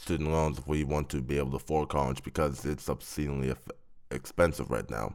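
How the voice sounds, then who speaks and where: The man's voice is very deep and low, and his intonation stays fairly even. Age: 20s. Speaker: college student. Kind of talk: interview. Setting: studio.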